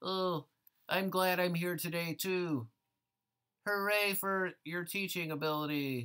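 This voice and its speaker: A female-sounding voice puts on a character voice at a fairly low pitch, speaking at a fairly slow pace with long, frequent pauses. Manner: eager, sarcastic.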